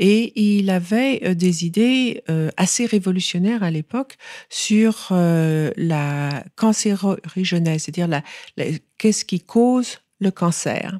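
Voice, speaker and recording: A woman speaks very slowly at a medium pitch in a dark, mellow tone, captured in a very clean, dry, close recording with no echo and a silent background. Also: ordinary pitch variation. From France. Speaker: author and foundation head. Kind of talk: radio interview. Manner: halting, many repeated words.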